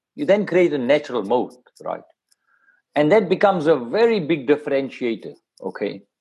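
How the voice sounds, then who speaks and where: With vocal fry and a dark, mellow tone, a man speaks at a moderate pace, his pitch swinging very widely. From South Africa. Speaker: media executive. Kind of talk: interview.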